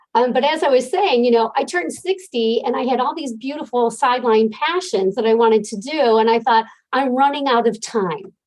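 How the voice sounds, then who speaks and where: A woman with an American accent, high-pitched and lively in intonation, at a fairly quick pace with hardly any pauses. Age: 60s. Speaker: life coach. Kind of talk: interview.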